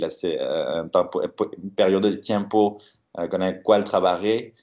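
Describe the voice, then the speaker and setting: The speaker is a man with a fairly low pitch. He talks with a French accent. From France, Bordeaux. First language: French (speaking Spanish). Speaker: scientist. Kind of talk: interview. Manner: halting.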